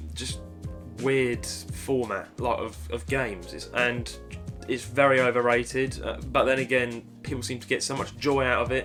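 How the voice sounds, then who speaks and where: With music in the background, a man with a Cockney accent talks at a moderate pace and medium pitch, showing ordinary pitch variation and big swings in loudness. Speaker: gaming YouTuber and streamer. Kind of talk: casual Q&A talk to camera.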